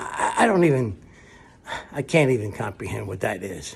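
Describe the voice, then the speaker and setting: A man's voice carries vocal fry in a very clean recording with a silent background. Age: old. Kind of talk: political commentary to camera.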